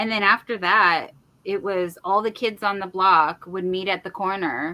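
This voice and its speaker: Speaking with a West Coast accent, a woman uses medium pitch, fairly even intonation and a moderate pace. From San Francisco Bay Area. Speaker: crochet YouTuber. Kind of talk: casual chat.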